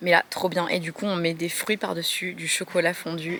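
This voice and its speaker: Noticeable background noise sits behind a woman with a fairly low pitch. She speaks at a fairly slow pace. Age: 20s. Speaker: vlogger and small business owner. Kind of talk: casual vlog. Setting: at home.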